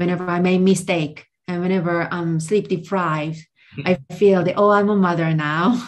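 Her intonation stays fairly even as this woman talks at a fairly low pitch. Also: moderate pace. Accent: Korean. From South Korea. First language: Korean. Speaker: translator and language tutor. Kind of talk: interview conversation.

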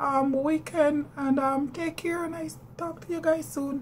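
A high-pitched woman at a very slow pace, monotone and flat, over light background noise. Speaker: devotional vlogger. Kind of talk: casual talk to camera. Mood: warm, friendly farewell. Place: home room. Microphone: phone near.

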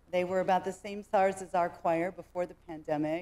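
A woman is speaking. Her pace is fairly quick. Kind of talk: church announcement. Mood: light, humorous appeal. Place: church.

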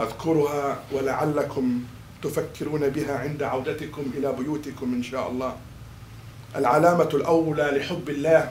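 Speaking very slowly in a monotone, flat intonation, a man with a fairly high pitch is heard over light background noise with audible room echo. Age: 40s. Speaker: imam. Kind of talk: sermon. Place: hall.

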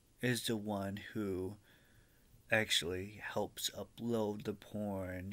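The man's voice is fairly low in pitch, with a bright, sharp tone. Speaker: vlogger. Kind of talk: casual vlog chat. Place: home room. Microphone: webcam.

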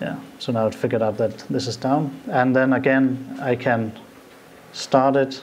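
A man with a Danish accent, flat monotone delivery and a moderate pace, over light background noise. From Denmark. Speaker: IT consultant; conference presenter. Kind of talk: live demo. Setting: stage with audience. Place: hall. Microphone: podium.

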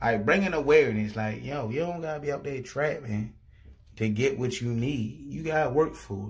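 Against a quiet background, the speaker sounds animated and somewhat breathy, with lively intonation and a moderate pace. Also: man. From Baltimore, Maryland, US. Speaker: YouTuber. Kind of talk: casual video reaction. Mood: proud, upbeat. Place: home room. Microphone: phone near.

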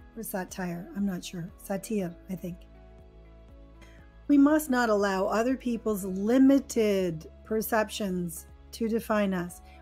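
The speaker has an American accent and ordinary pitch variation. Music plays in the background, and the loudness swings widely. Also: woman, medium pitch for a woman. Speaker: English teacher. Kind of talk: educational lesson narration. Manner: clear, slow.

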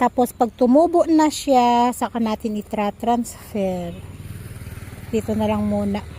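Noticeable background noise behind a woman talking at a fairly slow pace. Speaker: home vlogger, parent. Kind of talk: casual vlog narration. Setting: outdoors, home garden.

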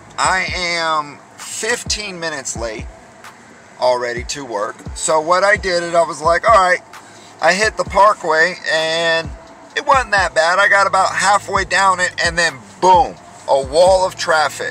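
Over background music, a man with a high voice speaks fairly slowly with ordinary pitch variation, the sound dry with no echo. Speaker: driver vlogger. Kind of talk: casual vlog chat. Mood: annoyed, venting. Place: car. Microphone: phone near.

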